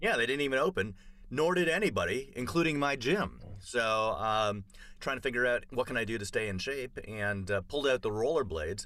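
A man with a slight Canadian accent talks at a fairly quick pace, medium in pitch, with a bright, sharp tone and lively intonation. The recording is very clean, with a silent background. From Canada, Toronto. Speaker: comedian. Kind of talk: casual chat.

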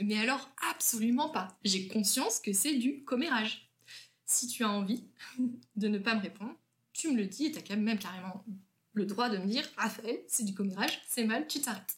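A woman's fairly high, somewhat breathy voice at a moderate pace, with ordinary pitch variation and long, frequent pauses. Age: 20s. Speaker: school teacher. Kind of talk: casual chat.

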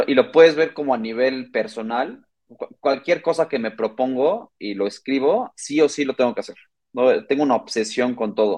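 Here is a man with a normal speaking voice at a medium pitch. He talks at a moderate pace with ordinary pitch variation. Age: 30s. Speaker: logistics startup co-founder. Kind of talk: interview.

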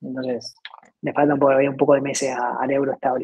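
This man's voice sits at a fairly high pitch. He talks at a fairly quick pace. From Argentina. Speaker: startup CEO. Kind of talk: interview. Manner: halting, many repetitions.

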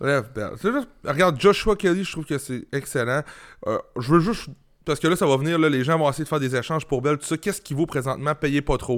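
This man talks very fast, his pitch fairly high with ordinary variation. The recording is very clean, with a silent background. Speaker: fantasy football podcast co-host. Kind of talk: casual chat. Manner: halting, many fillers.

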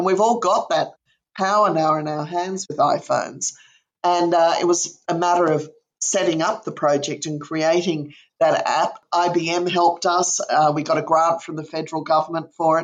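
Speaking at a moderate pace with an Australian accent, a woman uses a fairly low pitch and fairly even intonation. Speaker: museum director. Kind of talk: interview.

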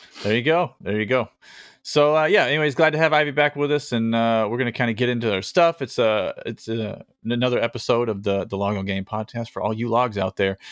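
This man's pitch is medium and varies in an ordinary way. He talks very fast. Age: under 50. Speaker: gaming podcast host. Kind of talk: casual chat. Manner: hesitant, many fillers.

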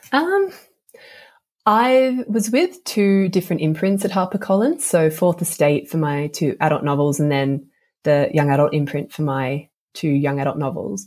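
A woman with an Australian accent has a very deep, low pitch. Her intonation is lively and her pace moderate. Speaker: novelist. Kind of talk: interview. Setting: remote call from Australia.

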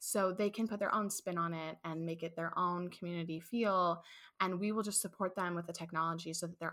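A woman's bright, sharp voice with a Midwestern American accent, fairly even intonation and a fairly quick pace. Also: very clean recording, silent background. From St. Louis, Missouri. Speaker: childcare business owner. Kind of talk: casual interview.

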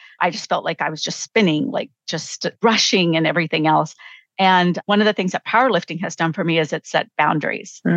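A woman with a plain, everyday voice talks fairly quickly, with fairly low pitch and ordinary pitch variation. The sound is dry and close with no echo, over a quiet background. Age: 50s. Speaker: professor and coach. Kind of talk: casual chat.

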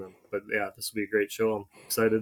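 Delivered at a very fast pace in an Upper Midwest accent, the speech is monotone and flat. The recording is very clean with a silent background and a dry, close sound with no echo. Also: man. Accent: Upper Midwest American. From North Dakota (Fargo). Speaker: podcast co-host, snow contractor. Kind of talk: casual chat.

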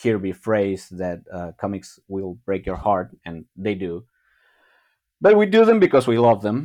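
A man speaks in a plain, everyday voice at a fairly low pitch and a fairly slow pace, with ordinary pitch variation, big swings in loudness, and a quiet background. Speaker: comic and RPG artist. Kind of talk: casual interview chat. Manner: self-deprecating, jokey.

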